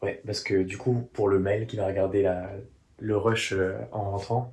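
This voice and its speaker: Somewhat breathy, a man with a fairly low pitch speaks at a fairly slow pace in a monotone, flat intonation. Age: 20s. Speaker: aspiring journalist and YouTuber. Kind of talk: vlog diary. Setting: room while travelling.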